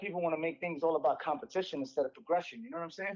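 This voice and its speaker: Speaking at a very fast pace, a man uses a high pitch and has a New York accent. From New York City, the Bronx. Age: 40s. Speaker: inline skating instructor. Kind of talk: casual interview. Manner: rambling.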